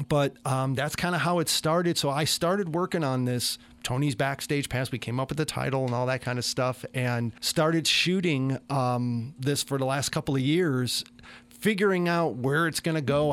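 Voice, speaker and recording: Speaking in a normal speaking voice with an American accent, a man with fairly high pitch keeps a moderate pace and very even loudness on a very clean recording with a silent background. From Chicago, US. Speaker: musician and TV producer. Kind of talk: radio interview. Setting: studio.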